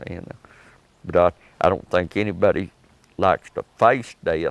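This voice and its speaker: A man with a Texas accent, very deep and low in pitch, at a fairly slow pace. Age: 70s. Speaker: oral history interviewee. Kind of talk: interview. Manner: halting.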